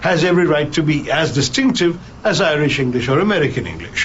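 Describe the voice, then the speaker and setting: A man with a fairly high pitch talks at a moderate pace and lively intonation. Noticeable background noise and audible room echo are in the recording. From India. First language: Malayalam. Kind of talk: interview.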